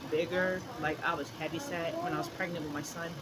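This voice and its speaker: A woman with a fairly low pitch speaks at a fairly quick pace with fairly even intonation. Audible room echo and noticeable background noise fill the recording. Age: 30s. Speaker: vlogger sharing birth story. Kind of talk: casual vlog monologue. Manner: halting, stuttering.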